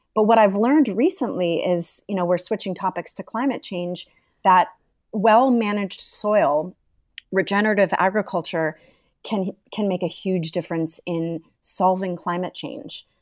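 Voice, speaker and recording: In a plain, everyday voice, the speaker goes at a moderate pace with ordinary pitch variation against a quiet background. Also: woman, medium pitch for a woman. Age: 40s. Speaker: environmental nonprofit co-founder. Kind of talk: interview conversation.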